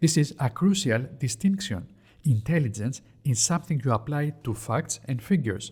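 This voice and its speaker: A man with a Greek accent speaks at a moderate pace and medium pitch, his voice somewhat breathy. His tone is dark and mellow, with lively intonation. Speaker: investing educator. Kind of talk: educational explainer.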